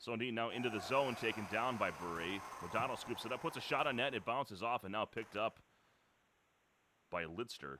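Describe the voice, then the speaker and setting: A man talks loudly at a fairly quick pace with a bright, sharp tone, ordinary pitch variation, and long, frequent pauses. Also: medium pitch for a man. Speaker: esports play-by-play commentator. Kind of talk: live commentary.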